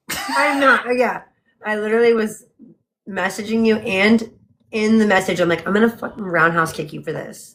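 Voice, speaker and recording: Speaking at a moderate pace, a woman has a fairly high pitch. Hers is an unremarkable speaking voice. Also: ordinary pitch variation. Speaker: book club co-host. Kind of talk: casual chat. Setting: livestream from home.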